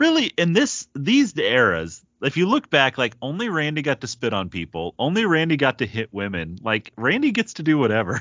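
The speech moves at a moderate pace with hardly any pauses and shows vocal fry. Its pitch swings very widely. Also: man, fairly high pitch for a man. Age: 30s. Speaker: wrestling podcast co-host. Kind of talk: casual chat.

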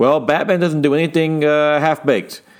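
A man with an unremarkable speaking voice, fairly high in pitch, at a fairly quick pace in a very clean recording with a silent background. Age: 40s. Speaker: comic book podcast host. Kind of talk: solo podcast review.

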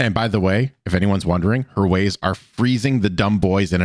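Ordinary pitch variation in a natural reading voice

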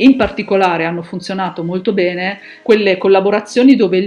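A woman's fairly quick speech over noticeable background noise. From Milan, northern Italy. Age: 50s. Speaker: online community founder and digital marketing expert. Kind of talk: podcast interview.

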